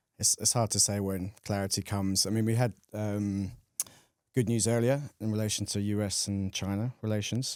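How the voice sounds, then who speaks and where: Speaking with a British accent, a man delivers monotone, flat intonation at a moderate pace and fairly low pitch, in a dry, close sound with no echo. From United Kingdom. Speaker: carbon trader. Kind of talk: casual chat.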